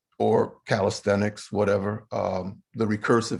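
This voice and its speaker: A man speaks very slowly in a monotone, flat intonation. His pitch sits fairly low. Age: 70s. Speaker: poet. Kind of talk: live online book launch conversation. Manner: halting, many repetitions and fillers.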